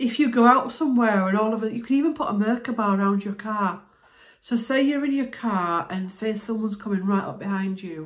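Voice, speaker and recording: Somewhat breathy and relaxed in tone, a woman speaks at a fairly quick pace with ordinary pitch variation. The background is quiet. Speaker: spiritual healer vlogger. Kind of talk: explanatory self-help talk to camera. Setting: video, talking to camera. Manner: conversational, relaxed. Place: home room. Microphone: phone near.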